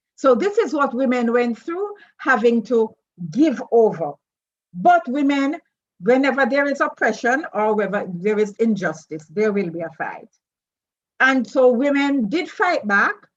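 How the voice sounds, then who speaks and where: This woman's voice is high-pitched. Her pitch swings very widely. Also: fairly slow pace. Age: 70s. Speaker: feminist scholar and panelist. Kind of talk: webinar talk.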